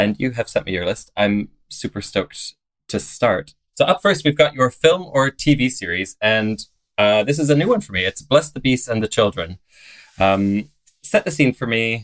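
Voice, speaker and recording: The sound is dry and close, with no echo, as a man speaks at a fairly slow pace. His medium pitch makes very wide swings. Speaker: podcast host, drag performer. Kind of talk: casual interview chat.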